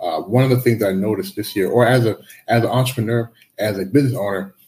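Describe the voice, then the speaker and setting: A man with an American accent talks at a very fast pace. His voice is medium in pitch and somewhat breathy. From US. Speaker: life and business coach. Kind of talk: interview.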